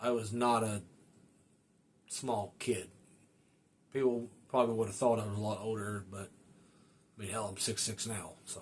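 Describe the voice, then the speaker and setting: A man at a medium pitch speaks at a moderate pace with monotone, flat intonation and long, frequent pauses. His voice is somewhat breathy, with big swings in loudness. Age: 30s. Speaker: motorcycle podcast host. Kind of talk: casual monologue. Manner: casual, many fillers.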